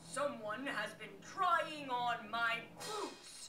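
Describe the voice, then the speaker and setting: Growling through a put-on character voice at a fairly high pitch, the speaker goes very slowly over clear background noise. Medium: read story.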